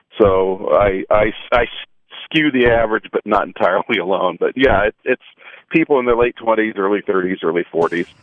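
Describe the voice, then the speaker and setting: A man speaks in an unremarkable speaking voice, fairly low-pitched, with ordinary pitch variation. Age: 50s. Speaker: space journalist and author. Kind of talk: radio interview.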